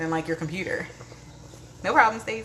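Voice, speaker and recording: Noticeable background noise sits behind the voice. A woman speaks with ordinary pitch variation. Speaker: lifestyle vlogger, live streamer. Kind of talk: casual live stream chat. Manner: fast.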